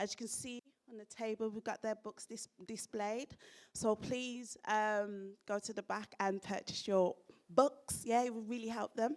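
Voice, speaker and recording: Heard dry and close with no echo, a woman with a Birmingham accent speaks in an animated tone at a fairly high pitch. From Birmingham, England. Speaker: event presenter. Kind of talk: live event introduction. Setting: stage with audience.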